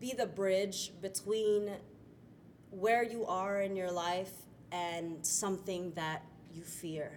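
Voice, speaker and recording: With fairly even intonation, a woman speaks at a very slow pace with long, frequent pauses, and audible room echo surrounds her voice. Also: medium pitch for a woman. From Florida, US. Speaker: stage actor. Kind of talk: interview. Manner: hesitant with fillers.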